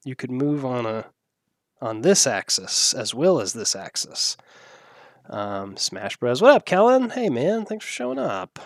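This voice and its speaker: Pitched in the medium range, a man is talking. His speed is moderate. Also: dry, close sound with no echo. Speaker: video game streamer. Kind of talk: casual chat. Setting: live stream. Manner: soft-spoken.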